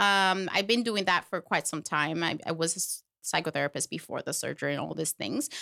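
In a dry, close sound with no echo and a silent background on a very clean recording, a woman speaks fairly quickly with vocal fry and a bright, sharp tone. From Puerto Rico. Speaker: plastic surgery patient. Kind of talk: interview.

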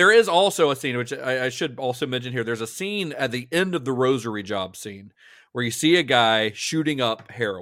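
Talking at a fairly quick pace, a man with a plain, everyday voice and a medium pitch uses lively intonation. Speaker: film historian and podcast co-host. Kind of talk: casual podcast discussion. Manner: laughs often, chatty.

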